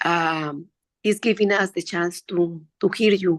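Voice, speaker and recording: Very slowly, a woman speaks in a Spanish accent with ordinary pitch variation. The sound is dry and close with no echo, over a quiet background. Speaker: meditation participant. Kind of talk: casual chat. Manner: halting.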